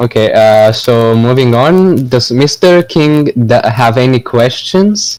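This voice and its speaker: Lively in intonation yet very slow in pace, a man with a non-native accent speaks at medium pitch with very even loudness and hardly any pauses. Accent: foreign. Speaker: podcast host. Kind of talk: casual interview.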